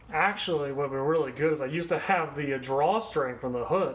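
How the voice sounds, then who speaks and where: Words pour out at a very fast pace. Background noise is noticeable throughout. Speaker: DIY video creator. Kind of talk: casual tutorial. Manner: mumbling.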